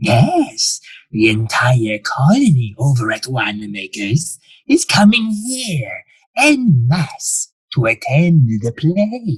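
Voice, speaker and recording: Using a put-on character voice, a man speaks very slowly at a fairly high pitch with very wide pitch swings. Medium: audio drama. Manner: suave, quietly menacing.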